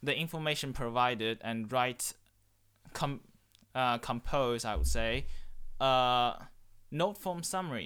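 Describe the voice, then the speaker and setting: A man with a Chinese accent speaks in a bright, sharp tone. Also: very clean recording, silent background. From China. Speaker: student guest. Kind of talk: casual interview.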